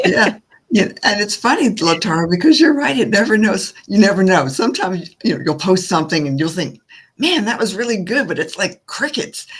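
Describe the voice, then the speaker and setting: A very clean recording with a silent background, delivered at a fairly quick pace. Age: 60s. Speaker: podcast co-host. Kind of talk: casual panel chat.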